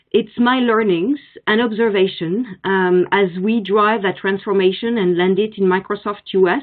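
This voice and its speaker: A woman with a French accent speaks at medium pitch with ordinary pitch variation. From France. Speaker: marketing executive. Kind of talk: conference presentation. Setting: virtual forum.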